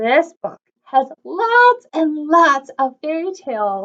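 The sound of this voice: Speaking slowly, a woman has a high pitch, a fairly bright tone and big pitch swings.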